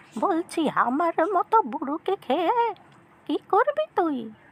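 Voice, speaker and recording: In a cartoonish character voice, a woman speaks fairly slowly at an extremely high pitch with lively intonation. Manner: shrewd, folksy.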